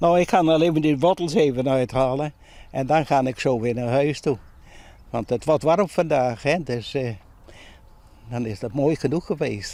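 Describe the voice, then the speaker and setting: Speaking at a moderate pace with long, frequent pauses, a man uses a fairly high, dark, mellow voice with ordinary pitch variation. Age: 90s. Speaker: allotment gardener. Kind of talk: interview. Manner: halting.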